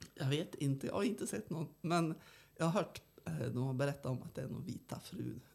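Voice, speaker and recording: A woman with a very deep, low pitch and a somewhat breathy voice speaks at a moderate pace. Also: lively intonation. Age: 70s. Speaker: archaeologist and tour guide. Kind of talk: casual interview.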